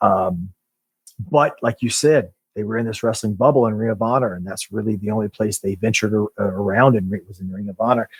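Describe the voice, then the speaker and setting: An unremarkable speaking voice from a man at a fairly low pitch and fairly quick pace, with ordinary pitch variation, big swings in loudness and a dry, close sound with no echo. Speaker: pro wrestler podcast host. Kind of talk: casual podcast chat.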